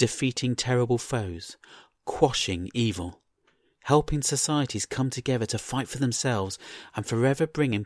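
Behind the speaker, all is quiet. What we hear is an unforced reading voice.

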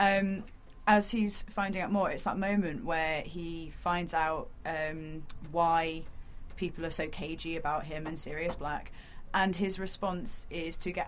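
In a plain, everyday voice, a woman talks at a fairly slow pace with a fairly low pitch and fairly even intonation. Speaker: book podcast co-host. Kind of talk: casual chat.

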